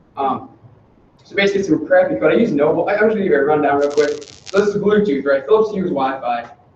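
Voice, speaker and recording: Over noticeable background noise, a man talks at a very fast pace in a high pitch with lively intonation. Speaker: software developer giving a lightning talk. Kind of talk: meetup lightning talk. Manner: halting, many fillers.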